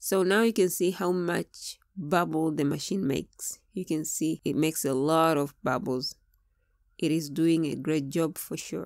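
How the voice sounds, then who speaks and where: A woman with a Tanzanian accent, fairly low in pitch with ordinary pitch variation, at a fairly slow pace, in a very clean recording with a silent background and a dry, close sound with no echo. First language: Swahili. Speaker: product reviewer, Swahili teacher. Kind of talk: product review tutorial.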